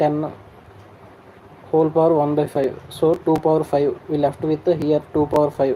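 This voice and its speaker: Speech delivered at a fairly slow pace with a Telugu accent. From Andhra Pradesh, India. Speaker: online exam-prep teacher. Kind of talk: live-stream tutorial. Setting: live stream.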